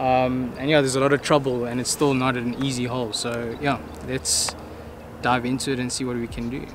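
The sound is dry with no echo but has noticeable background noise, as a man talks at a fairly quick pace with fairly even intonation. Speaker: golf channel host. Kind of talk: casual vlog chat. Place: open country.

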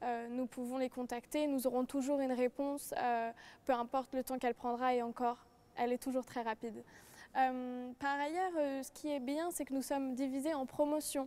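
At a moderate pace, a woman speaks in a high pitch with fairly even intonation and a dark, mellow tone. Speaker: law student. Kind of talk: panel presentation. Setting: studio. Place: hall.

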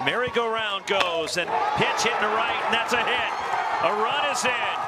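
A man's extremely high-pitched voice at a fairly slow pace, with ordinary pitch variation over noticeable background noise. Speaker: baseball commentator. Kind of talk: live commentary. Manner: excitable.

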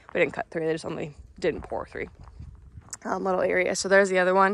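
There is light background noise while the woman talks. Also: dry sound with no echo. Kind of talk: casual vlog chat. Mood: excited, upbeat. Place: farm machine. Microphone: phone near.

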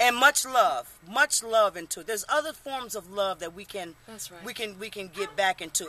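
A woman speaks in an animated tone with lively intonation. The sound is dry with no echo, over light background noise. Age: 50s. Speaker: military veteran. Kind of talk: casual interview. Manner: halting with repetitions. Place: street. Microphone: camera far.

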